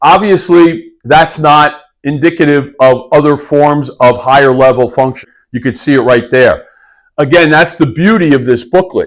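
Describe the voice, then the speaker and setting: Using a normal speaking voice, a man talks at a moderate pace and fairly high pitch with ordinary pitch variation. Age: 60s. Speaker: fitness coach. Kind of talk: video tutorial. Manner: casual, conversational.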